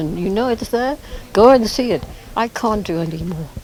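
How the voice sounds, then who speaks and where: Against noticeable background noise, a woman talks at a moderate pace with ordinary pitch variation. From Kenya. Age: 80s+. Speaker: museum founder, former safari guide. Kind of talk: interview.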